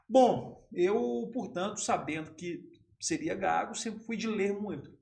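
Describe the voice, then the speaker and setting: A man's high voice with very wide pitch swings, at a very slow pace, with audible room echo. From southern Minas Gerais, Brazil. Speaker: sports journalist and radio announcer. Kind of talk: casual interview. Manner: calm, breath-controlled.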